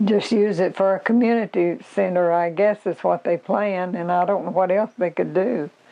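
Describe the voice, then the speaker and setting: A woman with an Arkansas accent speaks at a moderate pace and medium pitch, her intonation fairly even and her loudness very even. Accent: Southern US (Arkansas). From Arkansas, US South. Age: 80s+. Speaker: local elder sharing oral history. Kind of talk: oral history interview.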